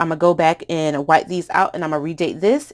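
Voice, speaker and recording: A woman with an American accent, fairly low-pitched, in a plain, everyday voice at a fairly quick pace, on a very clean recording with a silent background. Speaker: planner craft youtuber. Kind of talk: craft tutorial. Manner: casual with fillers.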